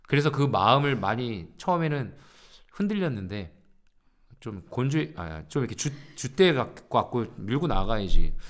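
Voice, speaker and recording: Speaking at a fairly slow pace with long, frequent pauses, a man at a medium pitch swings very widely in pitch and shows big shifts in loudness. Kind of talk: casual live-stream chat. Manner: casual, joking.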